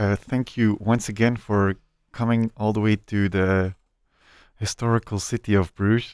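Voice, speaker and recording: Fairly low in pitch and with a Flemish accent, a man talks at a fairly slow pace on a very clean recording with a silent background, the sound dry and close with no echo. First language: Dutch. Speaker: chef and podcast host. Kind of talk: casual interview.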